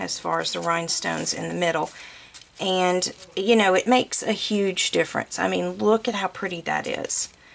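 Here is a woman with a Southern US accent. Her pace is moderate. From US South. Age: 40s. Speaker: bow-making crafter. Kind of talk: tutorial. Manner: casual, many fillers.

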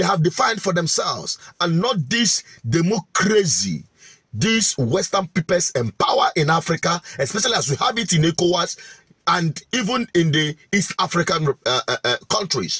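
Lively intonation marks a man's speech at a moderate pace. The sound is dry with no echo, over a quiet background. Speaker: political commentator. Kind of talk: commentary.

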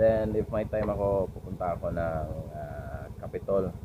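Over noticeable background noise, a man speaks at a fairly slow pace in a fairly low pitch with fairly even intonation. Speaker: motorbike travel vlogger. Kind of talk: casual vlog chat. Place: street. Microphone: phone near.

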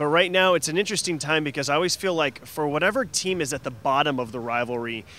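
A man speaks at a fairly quick pace with ordinary pitch variation and a bright, sharp tone. The sound is dry, with no echo. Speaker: interviewee. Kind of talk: interview answer. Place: stadium. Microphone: handheld.

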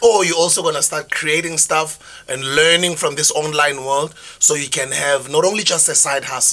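This is a man speaking at a moderate pace. His pitch varies in an ordinary way. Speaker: radio host introducing a guest. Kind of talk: host introduction monologue. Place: studio. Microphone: studio mic.

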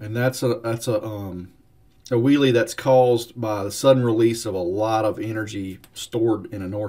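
At a moderate pace, the voice comes through over a quiet background. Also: man. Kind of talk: casual explanatory talk. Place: home room. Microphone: webcam.

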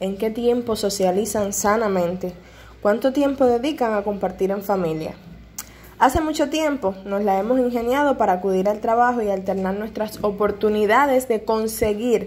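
This woman's pitch is fairly high, with ordinary variation, and her pace is moderate. Noticeable background noise runs underneath. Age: 20s. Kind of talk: vlog voice-over narration.

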